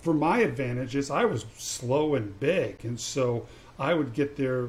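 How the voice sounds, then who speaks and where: A somewhat breathy man at a fairly slow pace. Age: 50s. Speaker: podcast host, former college basketball player. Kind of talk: casual interview.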